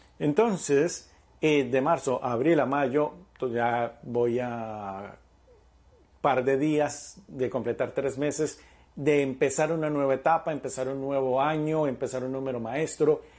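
Using an ordinary speaking voice, a man talks at a fairly slow pace with a fairly high pitch and ordinary pitch variation. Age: 40s. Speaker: spiritual podcast host and numerology coach. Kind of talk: reflective monologue.

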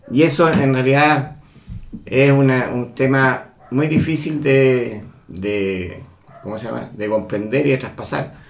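A man speaks at a medium pitch with ordinary pitch variation. His pace is very slow, and audible room echo fills the recording. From Chile. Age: 60s. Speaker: engineer. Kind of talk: interview. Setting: at home.

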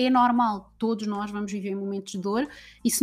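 A woman speaks fairly quickly with fairly even intonation in a plain, everyday voice. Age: 30s. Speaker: women's empowerment coach. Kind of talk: casual chat.

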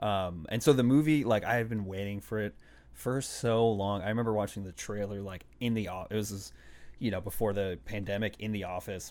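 A man's fairly low voice at a fairly quick pace, an unremarkable speaking voice with ordinary pitch variation, in a very clean recording with a silent background. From Boston, Massachusetts (Puerto Rican family). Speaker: podcast guest. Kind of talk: casual chat.

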